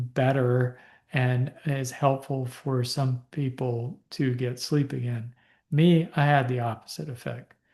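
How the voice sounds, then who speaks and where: Over a quiet background, a man of medium pitch speaks with a dark, mellow tone that is somewhat breathy. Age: 60s. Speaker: physician. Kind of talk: Q&A talk. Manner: casual, halting with fillers.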